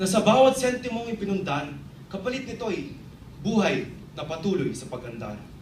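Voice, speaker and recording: A man with a high voice speaks at a moderate pace, his pitch swinging very widely and his loudness rising and falling sharply over noticeable background noise. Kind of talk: spoken word poetry, performed tribute. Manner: rhythmic, heartfelt, measured delivery.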